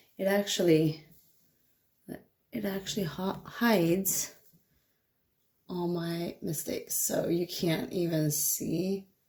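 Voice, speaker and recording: A quiet woman speaks at a very slow pace with long, frequent pauses. Her pitch is fairly low and her intonation fairly even. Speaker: DIY hair vlogger. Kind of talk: casual vlog tutorial. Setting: at home at night. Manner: quiet, hushed.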